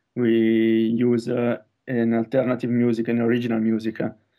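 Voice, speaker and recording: A man of medium pitch speaks fairly slowly in an Italian accent, with monotone, flat intonation. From northern Italy. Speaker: film director. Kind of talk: interview. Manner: halting, many hesitations.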